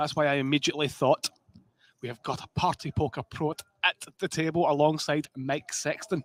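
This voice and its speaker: Speaking with a strong Scottish accent, a man talks at a moderate pace and fairly high pitch with fairly even intonation, the sound dry and close with no echo. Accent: thick Scottish. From Scotland. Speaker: poker commentator. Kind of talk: live commentary. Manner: casual, jokey.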